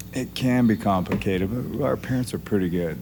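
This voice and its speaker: A man is speaking. His intonation is lively. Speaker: jiu-jitsu coach. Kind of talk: casual interview. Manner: doesn't carry, not loud.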